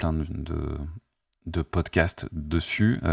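In a dry recording with no echo and a quiet background, a man with a very deep, low pitch and vocal fry keeps his intonation fairly even. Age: 50s. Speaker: YouTuber and life coach; YouTuber, life coach. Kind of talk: spontaneous monologue to camera. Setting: at home, facing camera. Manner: hesitant, many fillers. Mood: calm, reflective, warm. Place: home room. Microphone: studio mic.

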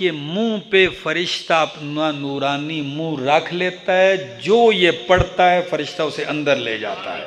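The speech moves at a very slow pace over light background noise. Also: man. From Pakistan. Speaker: Islamic preacher. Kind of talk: sermon. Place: hall. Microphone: studio mic.

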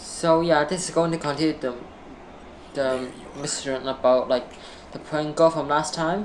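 A woman with a very deep, low pitch speaks at a moderate pace, her intonation fairly even. Long, frequent pauses break her speech, and noticeable background noise sits behind her. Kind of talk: gameplay commentary. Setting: mic makes voice sound strange. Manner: casual.

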